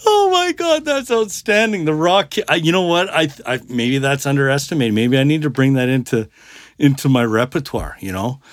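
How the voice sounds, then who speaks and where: A man with a fairly high pitch, lively intonation, and an ordinary speaking voice. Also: fairly quick pace. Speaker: podcast host. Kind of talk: casual banter about music. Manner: joking, talkative.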